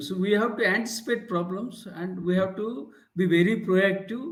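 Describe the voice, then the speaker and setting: A man with an Indian accent speaks in a high pitch with ordinary pitch variation. Room echo is audible. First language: Indian language. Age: 60s. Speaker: leadership professor and author. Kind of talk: interview. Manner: halting, with many fillers.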